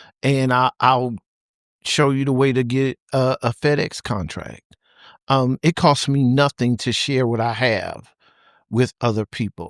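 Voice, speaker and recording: A man with a normal speaking voice talks at a medium pitch and a fairly slow pace, with fairly even intonation. The recording is very clean with a silent background, the sound dry and close with no echo. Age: 60s. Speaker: trucking company founder and CDL school owner. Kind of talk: interview.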